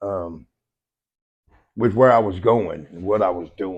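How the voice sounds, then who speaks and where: At a moderate pace, the man talks with a fairly low pitch. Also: quiet background. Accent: West Texas. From Lubbock, Texas. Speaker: podcast co-host, army veteran. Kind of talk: casual chat.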